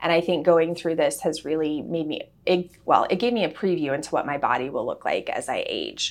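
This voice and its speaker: A woman with an unremarkable speaking voice talks at a fairly quick pace, with hardly any pauses. Her pitch is fairly low, with ordinary variation. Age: 30s. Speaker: cancer survivor. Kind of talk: interview.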